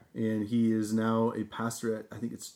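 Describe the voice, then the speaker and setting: A man with an unremarkable speaking voice at a medium pitch and a fairly slow pace. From Nebraska. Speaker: podcast co-host. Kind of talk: casual chat.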